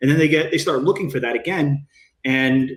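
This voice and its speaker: A man speaks. His pitch is fairly high for a man. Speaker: bodybuilding coach. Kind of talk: podcast interview. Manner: fast.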